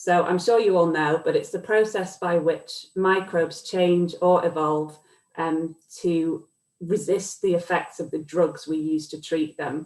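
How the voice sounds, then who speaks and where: The speaker has a British accent and fairly even intonation. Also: woman, fairly low pitch for a woman, fairly slow pace. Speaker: academic researcher. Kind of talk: lecture. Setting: video call.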